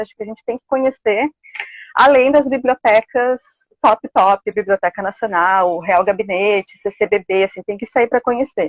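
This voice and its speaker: A woman with a plain, everyday voice talks at a fairly quick pace and fairly high pitch, with ordinary pitch variation. The sound is dry and close, with no echo. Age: 30s. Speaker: library science student. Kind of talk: live interview. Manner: casual, with many fillers.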